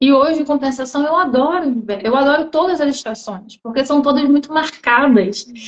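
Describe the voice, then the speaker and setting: Speaking with a Rio de Janeiro accent, a woman uses lively intonation at a high pitch. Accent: Brazilian Portuguese, Rio (carioca). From Brazil, Rio de Janeiro. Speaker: live stream host, interviewer. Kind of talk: casual interview on a social media live stream. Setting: social media live video stream.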